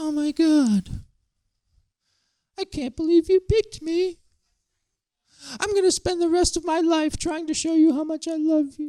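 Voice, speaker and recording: With long, frequent pauses, a high, put-on character voice goes at a moderate pace. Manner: eager, grateful, emotional.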